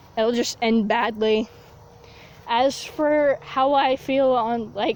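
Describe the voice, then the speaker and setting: Amid noticeable background noise, a woman with a high pitch talks very slowly with fairly even intonation. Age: young. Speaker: vlogger. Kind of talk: casual vlog monologue. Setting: outdoors, walking barefoot in grass.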